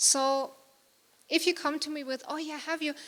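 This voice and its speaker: A woman with a bright, sharp tone uses a raised, projected voice at a moderate pace. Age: 30s. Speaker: conference speaker. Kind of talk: conference talk. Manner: loud.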